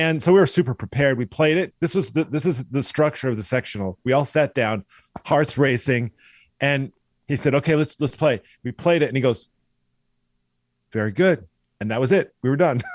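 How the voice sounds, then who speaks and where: Animated in tone and with a General American accent, the speaker moves at a fairly quick pace with ordinary pitch variation and long, frequent pauses. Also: man, fairly high pitch for a man. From US Pacific Northwest, Eastern Washington. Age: 60s. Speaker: orchestral violist. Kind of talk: podcast interview.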